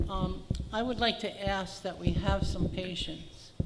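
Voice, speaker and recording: Soft-spoken delivery amid noticeable background noise. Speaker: condo association board member. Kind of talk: board meeting remarks.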